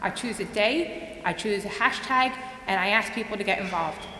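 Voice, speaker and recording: A woman with an American accent talks at a fairly high pitch with ordinary pitch variation, her voice carrying audible room echo amid noticeable background noise. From US, Philadelphia. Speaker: conference speaker, museum social media consultant. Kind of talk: conference talk. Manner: fast.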